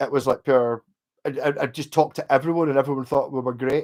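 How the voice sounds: In a West of Scotland accent, a man speaks fast at a medium pitch, his tone slightly mellow and his intonation fairly even. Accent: Glasgow area, west of Scotland.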